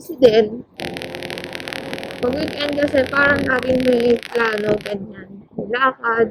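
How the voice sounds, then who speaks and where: At a very slow pace, a woman speaks with a high pitch and ordinary pitch variation. Her loudness swings widely over noticeable background noise. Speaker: motovlogger. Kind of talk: ride vlog narration. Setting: riding a motorcycle outdoors. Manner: loud today. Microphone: helmet mic wiring, sometimes quiet.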